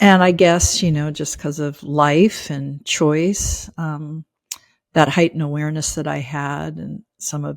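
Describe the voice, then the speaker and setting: Against a very clean recording with a silent background, a woman speaks at a very slow pace. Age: 50s. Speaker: spiritual teacher. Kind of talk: interview conversation. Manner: halting, many fillers.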